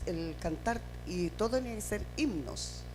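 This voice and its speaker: Audible room echo surrounds a woman speaking very slowly with a Chilean accent. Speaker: pastor. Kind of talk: sermon.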